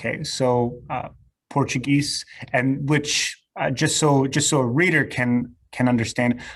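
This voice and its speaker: At a fairly slow pace, a man with a Serbo-Croatian accent speaks at a medium pitch with fairly even intonation. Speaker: podcast host. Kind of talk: interview. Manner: halting, many fillers.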